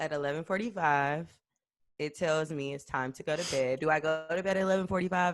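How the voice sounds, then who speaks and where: A woman with a very deep, low pitch and ordinary pitch variation talks at a fairly quick pace. Music plays in the background. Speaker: podcast co-host. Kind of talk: casual chat.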